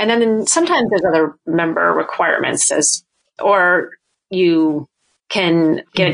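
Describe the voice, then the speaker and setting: Using a normal speaking voice, a woman with an American accent talks at a fairly low pitch with ordinary pitch variation. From New Hampshire, US. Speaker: arts nonprofit director. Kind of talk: interview.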